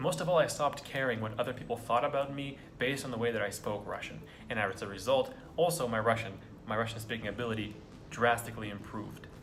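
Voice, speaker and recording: With music in the background and audible room echo, a man with an American accent speaks very fast at medium pitch with ordinary pitch variation. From United States. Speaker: vlogger. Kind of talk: casual monologue. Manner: halting.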